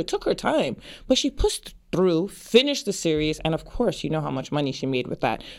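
A woman races along at a very fast pace, her pitch swinging very widely, with vocal fry in her voice. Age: 50s. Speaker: podcast host. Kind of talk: casual monologue. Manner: halting.

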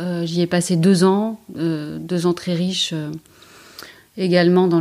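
A woman with a fairly low pitch and a dark, mellow tone speaks fairly slowly in a monotone, flat intonation. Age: 40s. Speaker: emergency doctor. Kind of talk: interview.

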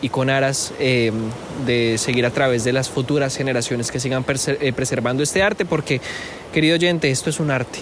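With noticeable background noise behind him, a man of medium pitch speaks at a moderate pace with fairly even intonation. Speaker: podcast host and journalist. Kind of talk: podcast interview with narrated intro. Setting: outdoors on the coast at sunset.

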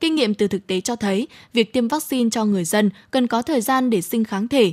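A somewhat breathy voice with lively intonation at a fairly quick pace, dry and close with no echo, in a very clean recording over a silent background. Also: woman. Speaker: radio host. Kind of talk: news reading. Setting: studio.

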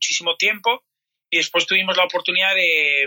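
A man speaks in a high-pitched, raised, projected voice at a fairly quick pace. The sound is dry and close, with no echo. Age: 40s. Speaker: personal trainer. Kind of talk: interview.

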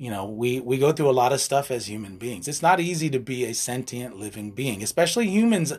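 A plain, everyday voice from a man at a medium pitch, with lively intonation, a fairly quick pace and hardly any pauses. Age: 50s. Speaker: life and relationship coach, podcast co-host. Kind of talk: casual chat.

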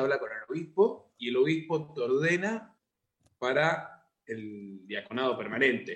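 A man with an ordinary speaking voice talks at a fairly high pitch. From Argentina, Buenos Aires province (San Antonio de Areco). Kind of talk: interview.

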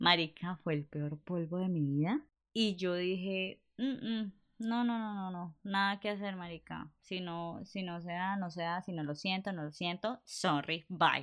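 A woman at a medium pitch, speaking at a fairly slow pace with ordinary pitch variation. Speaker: podcast co-host. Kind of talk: casual chat. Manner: animated.

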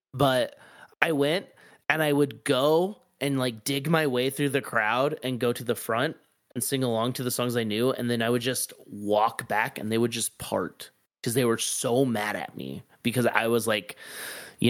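A man talks in a plain, everyday voice at a medium pitch, with ordinary pitch variation and a moderate pace. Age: 30s. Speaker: music podcast co-host. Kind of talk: casual chat.

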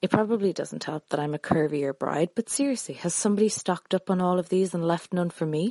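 In an Irish accent, a woman speaks with a fairly low pitch, a dark, mellow tone and ordinary pitch variation, recorded with a dry, close sound with no echo against a quiet background. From Ireland (Dublin). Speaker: engaged bride-to-be, listener. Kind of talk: recorded voice message question.

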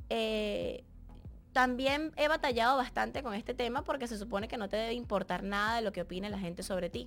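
With music in the background, a woman speaks at a moderate pace, her fairly high voice showing ordinary pitch variation. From Venezuela, Barquisimeto. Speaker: dancer, model and TV presenter. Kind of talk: casual Q&A monologue.

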